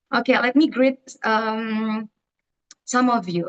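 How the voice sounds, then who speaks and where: A woman with an Indonesian accent speaks at a fairly high pitch. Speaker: event director. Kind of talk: presentation. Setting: video call. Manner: halting.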